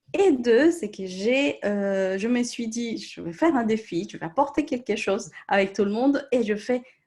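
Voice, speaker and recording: In a Colombian accent, a woman speaks at a fairly slow pace in a high pitch, with very wide pitch swings. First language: Spanish (speaking French). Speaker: coach or therapist. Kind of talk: live-stream group discussion.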